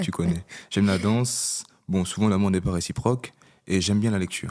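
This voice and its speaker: A man with a fairly low pitch talks at a fairly quick pace, his intonation fairly even and his loudness very even. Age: 20s. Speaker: podcast co-host. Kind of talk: casual chat.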